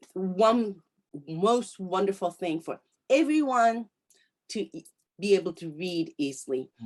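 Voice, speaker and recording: A woman at medium pitch, with very wide pitch swings, big swings in loudness, a fairly slow pace and long, frequent pauses. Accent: Japanese. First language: Japanese. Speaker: interviewer. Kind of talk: interview. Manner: halting.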